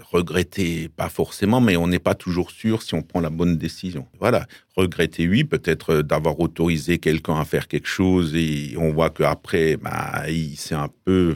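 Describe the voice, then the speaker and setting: Speaking at a fairly slow pace, a man with a very deep, low pitch uses ordinary pitch variation in a dry, close sound with no echo. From Alsace, France. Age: 50s. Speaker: village mayor. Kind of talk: radio interview. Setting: radio studio. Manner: halting, many repetitions and fillers.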